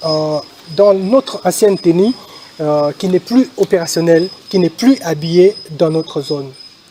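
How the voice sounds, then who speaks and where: A man's high-pitched voice with ordinary pitch variation against noticeable background noise. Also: fairly slow pace. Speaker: army officer / military spokesman. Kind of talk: press statement. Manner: hesitant, many fillers.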